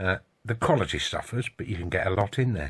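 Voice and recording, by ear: A man's low-pitched voice with a slightly husky edge, lively intonation and a fairly quick pace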